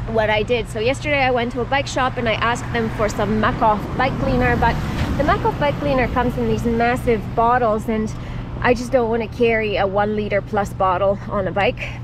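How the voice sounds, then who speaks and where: Noticeable background noise sits behind a woman speaking fairly quickly in a dry sound with no echo. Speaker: touring cyclist vlogger. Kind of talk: casual vlog chat. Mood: cheerful, grateful. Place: street. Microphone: helmet.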